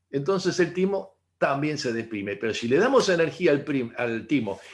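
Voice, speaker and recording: A man talks in a normal speaking voice, fairly high in pitch. His pace is moderate and his intonation lively. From Argentina. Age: 60s. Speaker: integrative therapist. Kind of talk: talk to online audience.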